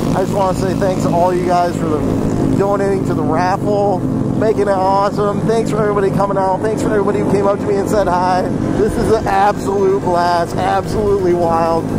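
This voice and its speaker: Loud background noise fills the clip. The sound itself is dry, with no echo. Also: fairly quick pace. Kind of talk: casual vlog chat. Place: motorbike.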